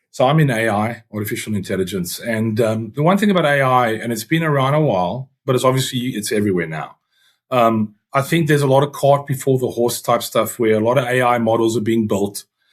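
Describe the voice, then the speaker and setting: Ordinary pitch variation marks a man's medium-pitched speech at a fairly quick pace. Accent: South African. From South Africa, Eastern Cape (Uitenhage). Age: 40s. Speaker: youth rugby coach and banker. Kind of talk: interview conversation. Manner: halting, many fillers.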